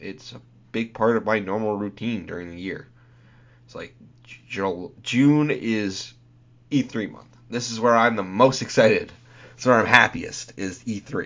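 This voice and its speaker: His voice sits at medium pitch for a man, with big swings in loudness. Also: ordinary pitch variation, fairly slow pace. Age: 20s. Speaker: podcast host. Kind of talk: solo podcast monologue. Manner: halting, many fillers.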